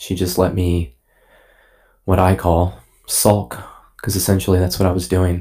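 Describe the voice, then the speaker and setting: On a very clean recording with a silent background, a man with a very deep, low pitch speaks fairly slowly in a dark, mellow, somewhat breathy tone, leaving long, frequent pauses. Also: ordinary pitch variation. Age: 30s. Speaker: podcast host. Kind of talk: personal monologue.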